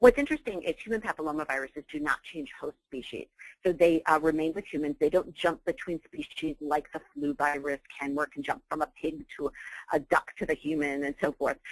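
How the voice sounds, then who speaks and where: Speaking at a fairly quick pace, a woman has a very deep, low voice. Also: ordinary pitch variation, dry, close sound with no echo. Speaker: physician and professor. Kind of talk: webinar lecture. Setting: online webinar call. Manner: fast.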